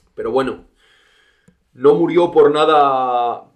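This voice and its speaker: A man is speaking here. His pace is fairly slow. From Spain, León province. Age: 30s. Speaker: horse trainer. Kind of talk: interview.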